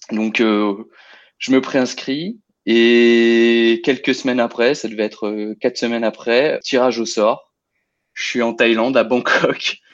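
A man speaks very slowly at a medium pitch in a flat monotone, against a quiet background. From Lyon region, France. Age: 30s. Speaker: amateur trail runner. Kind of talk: interview, personal race story. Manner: hesitant, many fillers and repetitions.

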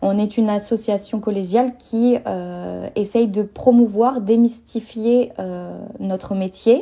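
Speaking at a very slow pace, a woman leaves hardly any pauses. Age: 20s. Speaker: doula and naturopath. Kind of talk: interview.

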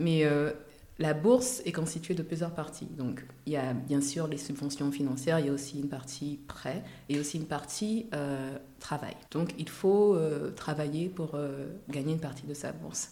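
A woman with a very deep, low pitch and a dark, mellow tone speaks at a fairly slow pace amid audible room echo. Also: ordinary pitch variation. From Côte d'Ivoire, Abidjan. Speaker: cosmetics entrepreneur. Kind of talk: interview.

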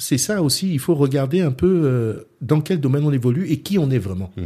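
A man's fairly high-pitched voice with a dark, mellow tone, moderate pace, lively intonation and a somewhat breathy quality. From France, Centre region. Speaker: boxing club founder. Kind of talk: interview.

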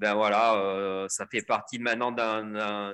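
Speaking at a very slow pace, a man with a bright, sharp tone is heard on a very clean recording with a silent background. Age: 50s. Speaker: mountain professional and ultra trail runner. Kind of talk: casual interview. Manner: hesitant, many fillers.

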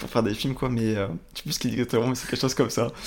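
At medium pitch, a man talks with fairly even intonation. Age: 20s. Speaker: video production entrepreneur. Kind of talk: interview. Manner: halting.

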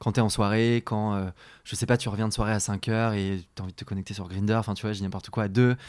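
Over a silent background in a very clean recording, a man speaks at a very fast pace with monotone, flat intonation. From France, rural Beaujolais. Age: 20s. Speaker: podcast guest. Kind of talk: casual chat. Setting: at the host's home. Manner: hesitant, many fillers.

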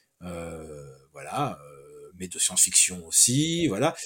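The recording is very clean, with a silent background. In it, a man talks at a very slow pace. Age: 50s. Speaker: comic book writer. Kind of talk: interview. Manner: halting.

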